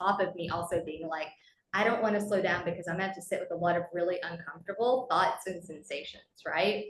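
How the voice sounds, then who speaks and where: Her voice sits at a medium pitch as a woman speaks at a fairly quick pace with ordinary pitch variation. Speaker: coach. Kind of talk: group coaching session. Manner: fast; animated.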